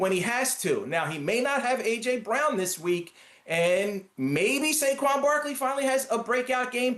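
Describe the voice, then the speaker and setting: A man speaks in a strong Philadelphia accent at an extremely high pitch with very wide pitch swings. His pace is fairly slow with hardly any pauses, and there is noticeable background noise. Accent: Philadelphia accent, still strong. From Philadelphia, US. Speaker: sports writer. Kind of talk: sports predictions chat.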